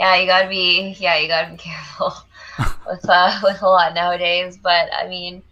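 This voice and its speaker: Against noticeable background noise, a woman speaks at a moderate pace and medium pitch. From US, Nicaraguan parents. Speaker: youtuber, film channel. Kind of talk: casual chat. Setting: livestream. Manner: animated.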